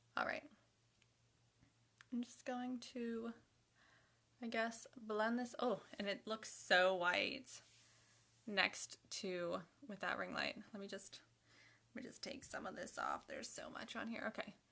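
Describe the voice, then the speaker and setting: Fairly even intonation from a woman with a fairly high pitch, fairly slow pace and long, frequent pauses. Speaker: beauty livestreamer. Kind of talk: makeup tutorial livestream. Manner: casual, self-talking.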